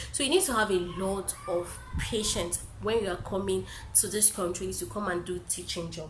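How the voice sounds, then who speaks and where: Moderately paced speech from a woman, amid noticeable background noise and audible room echo. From Nigeria. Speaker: YouTuber and English teacher. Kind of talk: casual vlog Q&A.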